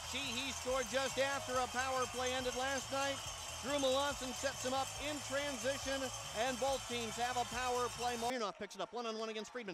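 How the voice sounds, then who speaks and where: With noticeable background noise behind him, a man talks in a raised, projected voice at an extremely high pitch, fairly quick and with an excited, animated tone. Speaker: hockey play-by-play announcer. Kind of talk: hockey play-by-play commentary. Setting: rink broadcast over game highlights. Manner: fast, rapid-fire, animated call of the action; excited on goals.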